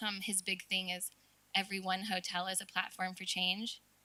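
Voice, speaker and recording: Her medium pitch staying monotone and flat, a woman speaks at a fairly quick pace. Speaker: hotel sustainability director. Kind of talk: panel discussion. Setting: stage with live audience.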